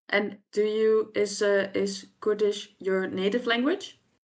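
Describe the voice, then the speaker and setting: A woman speaks in a Frisian accent. She has a medium pitch. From Friesland, Netherlands. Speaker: language researcher and curriculum developer. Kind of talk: podcast conversation.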